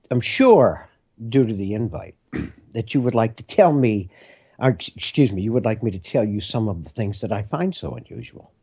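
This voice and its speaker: A man with an American accent speaks at a moderate pace and medium pitch. His voice is somewhat breathy, with lively intonation. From US Midwest, Lorain, Ohio. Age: 60s. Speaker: political commentator. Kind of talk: political commentary interview.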